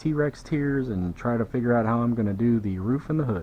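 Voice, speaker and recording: Speaking in a Southern US accent, a man keeps a medium pitch and a moderate pace. His intonation is lively. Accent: US South. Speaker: car detailer. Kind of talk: tutorial. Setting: workshop. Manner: casual.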